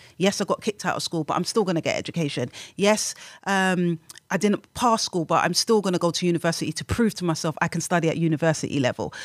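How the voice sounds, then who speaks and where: The speaker talks at a very fast pace in a London accent, with ordinary pitch variation. The recording is very clean, with a silent background and a dry, close sound with no echo. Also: woman, fairly low pitch for a woman. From London, England. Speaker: community worker and author. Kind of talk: interview.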